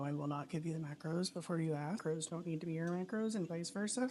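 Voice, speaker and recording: A woman's very deep, low voice amid noticeable background noise. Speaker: lifestyle vlogger. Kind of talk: casual vlog narration.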